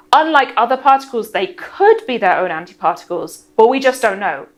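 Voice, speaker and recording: This woman has a high voice. Her pitch swings very widely. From northeast England, near Middlesbrough. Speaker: physicist and science presenter. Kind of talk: science explainer answering viewer questions. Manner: brisk, quick-fire answers.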